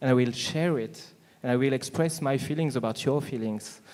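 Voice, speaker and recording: With a French accent, a man speaks at a moderate pace. His tone is dark and mellow, with ordinary pitch variation. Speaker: business panelist. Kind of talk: panel discussion. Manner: halting, many fillers.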